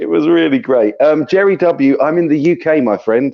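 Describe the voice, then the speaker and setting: A fairly high-pitched male voice at a moderate pace. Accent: southern English. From southern England. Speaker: guitar YouTuber and sound engineer. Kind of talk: live stream chat.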